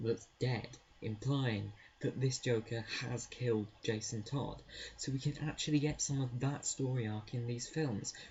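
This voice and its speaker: A man whispers quietly at a fairly slow pace. His voice is somewhat breathy. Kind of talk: casual talk to camera. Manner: quiet, whispered.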